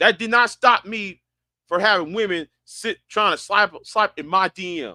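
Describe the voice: A man with a high pitch and a bright, sharp tone speaks at a fairly slow pace with ordinary pitch variation, in a dry, close sound with no echo.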